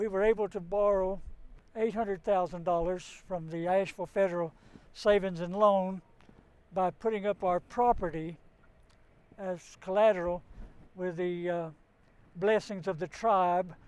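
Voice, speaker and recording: Pausing long and often, a man with a Southern Appalachian accent speaks at a moderate pace and high pitch with fairly even intonation. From western North Carolina, Cherokee area. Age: 80s+. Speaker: business owner. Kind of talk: interview.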